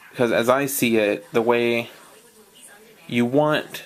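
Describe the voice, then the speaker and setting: Noticeable background noise sits behind a man whose medium-pitched voice keeps a fairly even intonation. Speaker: card game deck reviewer. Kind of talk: casual talk to camera. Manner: hesitant, stuttering, many fillers.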